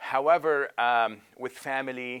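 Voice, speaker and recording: Here a man speaks at a very slow pace. His pitch is medium, with ordinary pitch variation. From Lebanon. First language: Arabic. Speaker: imam and professor. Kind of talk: interview testimony. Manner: halting with many fillers.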